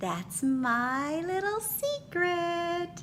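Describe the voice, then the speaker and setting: A woman puts on a squeaky character voice at an extremely high pitch, with clear background noise. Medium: read story. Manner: sweet and gentle.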